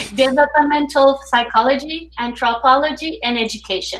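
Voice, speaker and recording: At a moderate pace, a woman talks with a French Canadian accent. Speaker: teacher hosting a reading circle. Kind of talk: online group discussion hosting. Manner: hesitant.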